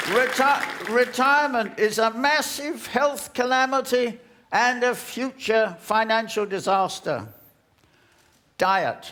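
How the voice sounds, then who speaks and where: A man speaks at a very slow pace with a bright, sharp tone. His intonation stays fairly even. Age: 80s+. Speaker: bodybuilder and rower. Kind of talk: TED talk.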